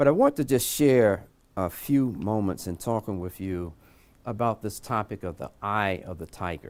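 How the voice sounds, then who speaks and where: In a Southern US accent, a man talks at a fairly low pitch with ordinary pitch variation and big swings in loudness. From US South (North Carolina). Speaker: imam. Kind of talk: lecture. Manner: slow.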